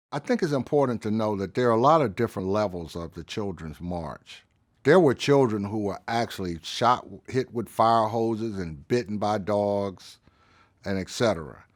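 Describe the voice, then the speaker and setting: In a Southern US accent, a man speaks at a moderate pace and fairly low pitch with lively intonation. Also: very clean recording, silent background. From Birmingham, Alabama. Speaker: civil rights era witness. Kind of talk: interview answer.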